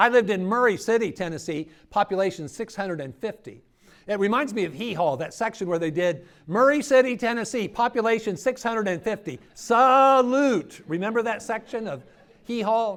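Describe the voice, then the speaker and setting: A man with an American accent talks at a high pitch with lively intonation. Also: moderate pace. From Ohio. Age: 60s. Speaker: preacher. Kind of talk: workshop talk.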